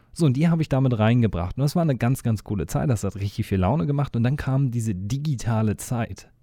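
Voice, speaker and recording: With hardly any pauses, the voice races along at a very fast pace, its tone dark and mellow and its intonation lively. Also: man. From eastern Germany. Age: 30s. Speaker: podcast host, agency owner and former rapper. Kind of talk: solo podcast monologue. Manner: casual, with many fillers.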